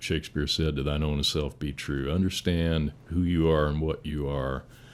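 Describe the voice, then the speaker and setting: A monotone, flat delivery with an American accent at a moderate pace. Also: man, very deep, low pitch for a man. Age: 60s. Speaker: firefighter, battalion chief. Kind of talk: casual interview conversation.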